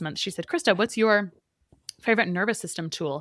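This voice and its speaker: Dry and close with no echo in a very clean recording with a silent background, a woman with a medium pitch talks at a very fast pace in an animated tone with lively intonation. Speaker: dietitian and nutritionist. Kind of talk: interview conversation.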